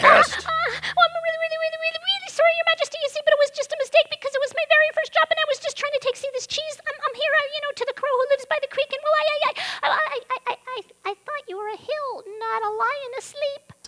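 This is a put-on character voice at an extremely high pitch. It races along at a very fast pace. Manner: stammering, jittery.

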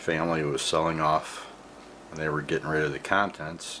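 A man speaks while light background noise hums underneath. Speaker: vintage radio collector. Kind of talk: casual show-and-tell narration. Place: home room. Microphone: phone near.

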